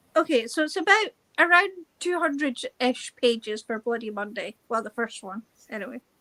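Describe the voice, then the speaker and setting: In a Scottish accent, a woman uses a raised, projected voice that is high-pitched, bright and sharp, with very wide pitch swings and big swings in loudness, recorded with a dry, close sound and no echo. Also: moderate pace. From Scotland. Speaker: book reader joining a live stream. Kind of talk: casual chat.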